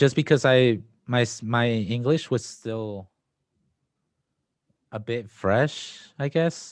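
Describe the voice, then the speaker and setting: In a Spanish accent, a man speaks at medium pitch with ordinary pitch variation, on a very clean recording with a silent background. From Mexico. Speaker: DACA recipient. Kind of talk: casual interview.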